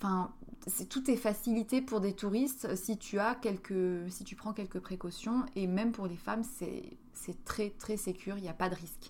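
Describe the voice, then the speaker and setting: A woman with a somewhat breathy, medium-pitched voice speaks at a fairly slow pace. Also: ordinary pitch variation. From France. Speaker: podcast host. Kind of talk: solo monologue podcast. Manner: hesitant, many fillers.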